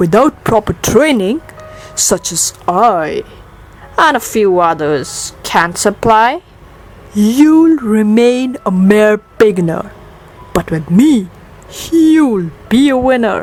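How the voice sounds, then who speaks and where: Over noticeable background noise, a woman with a fairly high pitch speaks very slowly, with long, frequent pauses and very wide pitch swings. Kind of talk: poetry reading.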